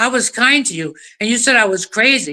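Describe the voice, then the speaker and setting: The tone is animated, bright and sharp, with very wide pitch swings. The pace is moderate. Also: woman. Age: 70s. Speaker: animal activist, livestream participant. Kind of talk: heated rant. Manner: animated, loud.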